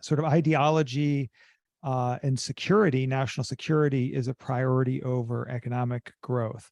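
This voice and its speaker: An ordinary speaking voice from a man with an American accent, medium in pitch and fairly even in intonation, comes through dry and close with no echo against a quiet background. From US. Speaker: business school professor. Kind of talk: interview.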